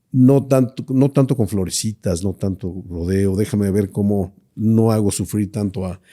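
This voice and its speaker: A man talks with a dark, mellow tone and ordinary pitch variation, taking hardly any pauses. The recording is very clean, with a silent background. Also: fairly low pitch for a man. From Mexico, Monterrey (Nuevo León). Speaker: business association leader. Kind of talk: interview. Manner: hesitant, many fillers.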